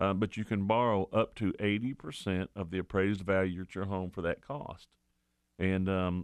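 A man with a plain, everyday voice talks at a fairly low pitch and a moderate pace. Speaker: radio show host. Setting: radio studio. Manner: warm, folksy and chatty, easygoing with filler words, upbeat sign-offs and catchphrases; brisk and repetitive when reading rates and the call-in number.

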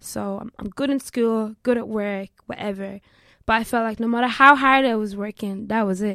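A woman with a Limerick accent speaks at a moderate pace and fairly high pitch with fairly even intonation, in a dry, close sound with no echo. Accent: Irish (Limerick). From Ireland, Limerick. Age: 20s. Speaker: law student and trader. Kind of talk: casual chat.

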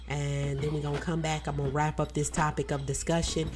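Here is a woman with a Southern US accent. Her pace is fairly quick. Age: 40s. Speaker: radio host. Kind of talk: radio DJ patter, chatty and casual. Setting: live radio show studio.

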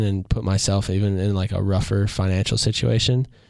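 A man with a plain, everyday voice speaks at a fairly quick pace in a fairly low register, his pitch moving in an ordinary way, on a very clean recording with a silent background. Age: 20s. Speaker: former baseball player. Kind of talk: casual chat.

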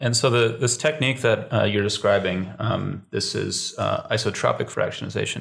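A man speaks at a moderate pace with hardly any pauses. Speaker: podcast host. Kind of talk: casual interview.

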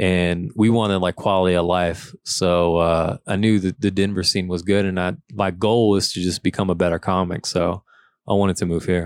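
A man's very deep, low voice with a Louisiana accent, monotone and flat, at a moderate pace, dry and close with no echo, on a very clean recording with a silent background. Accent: Southern US (Louisiana). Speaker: comedian. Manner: laid-back.

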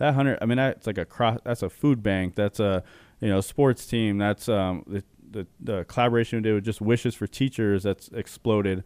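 A man speaks in an ordinary speaking voice at a moderate pace, his fairly low pitch showing ordinary variation. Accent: General American. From Arizona, Chandler. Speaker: clothing brand co-owner. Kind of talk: interview.

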